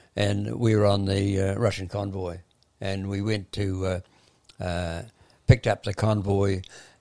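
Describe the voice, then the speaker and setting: A man's fairly low-pitched voice in a New Zealand accent, dark and mellow in tone, monotone and flat in intonation, with long, frequent pauses. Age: 80s+. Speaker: retired running coach. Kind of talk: interview. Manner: halting.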